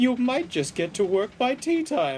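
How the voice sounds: Using a put-on character voice, a man speaks at an extremely high pitch with big pitch swings, a slightly husky edge and a fairly slow pace.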